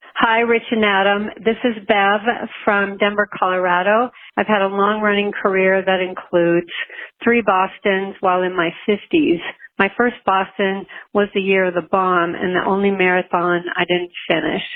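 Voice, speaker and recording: A woman's unremarkable speaking voice, medium in pitch, at a moderate pace with fairly even intonation and very even loudness. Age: 60s. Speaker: listener caller, runner. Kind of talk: recorded voicemail question.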